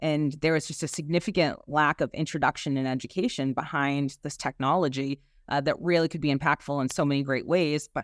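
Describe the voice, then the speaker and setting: With a Boston accent, a woman speaks in a very deep, low pitch and fairly even intonation at a moderate pace. The recording is very clean and silent behind her, with a dry, close sound and no echo. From Boston, South Boston. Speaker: HR executive. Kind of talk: podcast interview.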